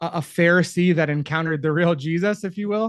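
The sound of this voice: A man speaks at a fairly quick pace. His voice sits fairly high, with ordinary pitch variation.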